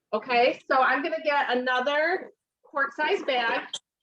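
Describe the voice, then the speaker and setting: A woman's high, bright, sharp voice, raised and projected. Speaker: home cooking consultant. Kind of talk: live cooking demonstration.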